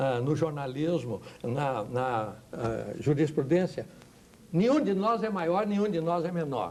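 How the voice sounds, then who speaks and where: Speaking at a fairly high pitch, a man uses lively intonation. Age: 70s. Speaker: pastor. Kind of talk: TV talk show panel discussion. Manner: animated.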